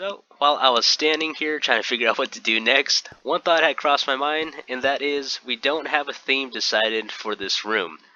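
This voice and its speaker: A man's relaxed voice at a fairly high pitch, moderate pace and ordinary pitch variation, with hardly any pauses and noticeable background noise. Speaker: gaming youtuber. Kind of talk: gameplay commentary. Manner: casual, relaxed.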